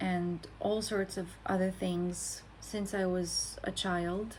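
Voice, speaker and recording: A woman's somewhat breathy voice sits at a medium pitch. She speaks at a very slow pace in a monotone, flat intonation. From Romania. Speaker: content creator. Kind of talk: personal introduction monologue. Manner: reflective, with hesitations.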